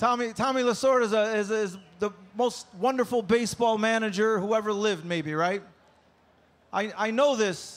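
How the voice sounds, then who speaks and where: Ordinary pitch variation and a moderate pace mark this speech in an American accent. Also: man, high pitch for a man. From upstate New York (Rome, NY). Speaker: comedian. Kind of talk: stand-up. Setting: stage with audience. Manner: animated.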